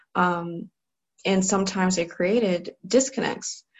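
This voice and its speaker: Somewhat breathy, a woman with an American accent speaks at a moderate pace. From US Midwest, Cleveland, Ohio. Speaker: clinical psychologist. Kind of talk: online training lecture.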